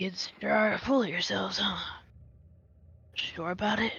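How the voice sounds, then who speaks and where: A put-on character voice, raspy and gruff, sits at a middle pitch. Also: moderate pace. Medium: actual play. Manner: gruff, terse, folksy.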